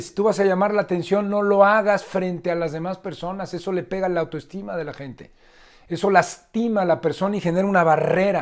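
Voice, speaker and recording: A high-pitched male voice with fairly even intonation. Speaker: leadership trainer. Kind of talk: lecture. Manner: fast.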